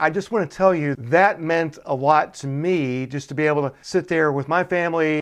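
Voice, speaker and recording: Against a quiet background, a man with an American accent speaks at a moderate pace in an ordinary speaking voice. His pitch is fairly high, with ordinary variation. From US South (Chattanooga, Tennessee), then Minnesota from 15. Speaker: podcast host. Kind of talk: podcast interview.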